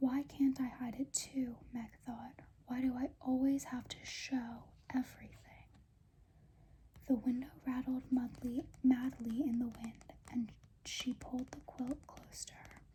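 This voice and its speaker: A soft-spoken woman with a high pitch and a dark, mellow tone talks at a fairly slow pace. Her intonation is monotone and flat, but her loudness swings widely. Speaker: ASMR creator. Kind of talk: audiobook-style reading aloud, ASMR.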